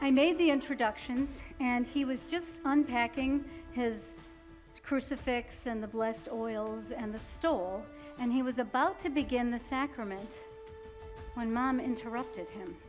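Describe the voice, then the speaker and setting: Music plays behind a woman with a high-pitched voice. She speaks fairly slowly with ordinary pitch variation. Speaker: stage actress; adult daughter caring for aging mother. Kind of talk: storytelling narration.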